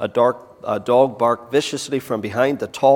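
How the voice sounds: Fairly even intonation in a natural reading voice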